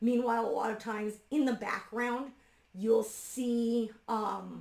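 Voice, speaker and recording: Using monotone, flat intonation, a woman with a fairly high pitch speaks at a very slow pace. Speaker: retired librarian, homeschool mom. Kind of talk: casual talk to camera, ballet review.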